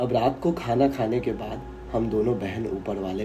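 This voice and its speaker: The voice swings very widely in pitch while music sounds behind it. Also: man. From Bihar, India. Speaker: horror story narrator. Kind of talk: horror story reading.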